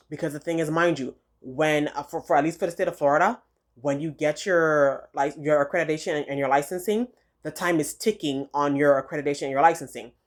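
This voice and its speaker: Over a silent background on a very clean recording, the speech moves at a very fast pace. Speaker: dental field career advisor vlogger. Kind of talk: casual informational talk to camera. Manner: hesitant, many fillers and repeats.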